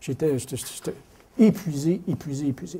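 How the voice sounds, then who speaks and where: A man speaks at a fairly high pitch with ordinary pitch variation. His tone is dark and mellow, and somewhat breathy. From Quebec City, Quebec. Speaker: mining company executive. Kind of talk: lecture. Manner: animated, repetitive.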